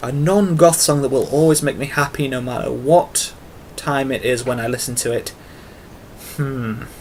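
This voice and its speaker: At a moderate pace, a man with a strong English accent and a fairly high pitch speaks with ordinary pitch variation and long, frequent pauses. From England. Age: 20s. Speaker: YouTuber and artist. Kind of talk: casual vlog monologue. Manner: hesitant with fillers.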